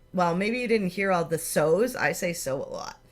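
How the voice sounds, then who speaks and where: On a very clean recording with a silent background, a woman sounds animated, her bright, sharp tone ranging through very wide pitch swings. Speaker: marketing coach hosting Q&A. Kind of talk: live Q&A session.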